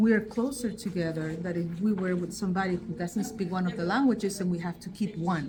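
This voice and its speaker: A woman with a Spanish accent, somewhat breathy and dark and mellow in tone, at a fairly quick pace. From Basque Country, Spain. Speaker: linguist, professor. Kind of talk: interview. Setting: on location.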